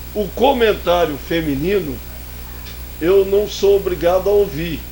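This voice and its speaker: This man talks fairly slowly. Behind him, noticeable background noise is audible. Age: 70s. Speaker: sports pundit. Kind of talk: heated debate. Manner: animated.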